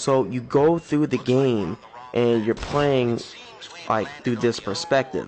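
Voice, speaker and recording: Very slow speech from a man at a medium pitch, ordinary pitch variation, noticeable noise behind him. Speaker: gaming YouTuber. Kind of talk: casual gameplay commentary. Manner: low-energy, subdued.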